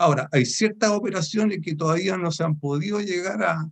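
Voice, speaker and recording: With a Chilean accent, a man talks at a fairly quick pace using ordinary pitch variation. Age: 70s. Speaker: author of a mining dictionary, retired mining supervisor. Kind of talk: book presentation talk. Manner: hesitant, many fillers.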